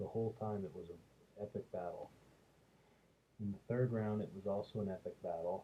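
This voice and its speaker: The speaker is soft-spoken and somewhat breathy, talking at a moderate pace with fairly even intonation. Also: man. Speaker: MMA commentator. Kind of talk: casual monologue review. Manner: hesitant with fillers.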